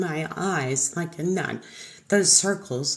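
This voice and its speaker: A woman with an American accent speaks at a medium pitch. Her voice is somewhat breathy, with lively intonation. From Texas, Houston area. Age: 50s. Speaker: makeup artist. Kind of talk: tutorial. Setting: livestream. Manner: casual, chatty.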